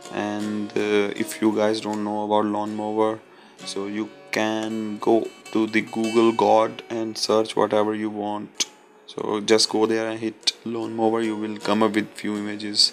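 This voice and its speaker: Music in the background under a man's fairly low, monotone voice with flat intonation, fairly slow, in an Indian accent. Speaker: concept artist. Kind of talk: software tutorial narration. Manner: hesitant, many fillers.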